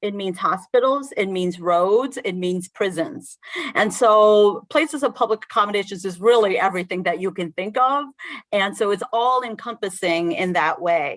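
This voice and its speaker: Speaking at a fairly slow pace, a woman uses a plain, everyday voice of medium pitch with lively intonation. The recording is very clean, with a silent background. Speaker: state agency head testifying. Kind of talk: committee testimony.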